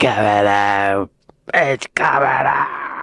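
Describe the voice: A man puts on a character voice with a British accent. It is raspy and fairly low in pitch.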